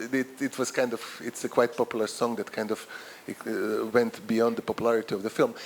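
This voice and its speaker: A man's fairly quick speech is heard against noticeable background noise. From Croatia. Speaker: professor. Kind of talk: lecture. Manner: halting, repetitive.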